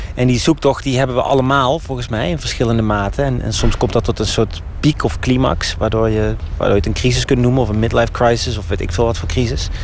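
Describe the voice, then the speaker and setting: Against noticeable background noise, a man of medium pitch talks at a very fast pace with hardly any pauses and ordinary pitch variation. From Netherlands, Eindhoven. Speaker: novelist. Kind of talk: casual interview while walking. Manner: halting, many repetitions.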